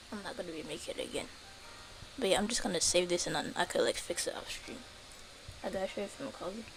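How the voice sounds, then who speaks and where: With music in the background, a woman at a medium pitch speaks at a very fast pace, ordinary pitch variation and long, frequent pauses. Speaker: game streamer. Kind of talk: casual live stream chat. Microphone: quiet stream audio.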